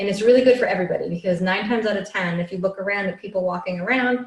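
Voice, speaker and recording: With ordinary pitch variation and a medium pitch, the woman talks in a plain, everyday voice. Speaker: yoga and movement teacher. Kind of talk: live instructional workshop. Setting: live video session. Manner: casual, filler-heavy.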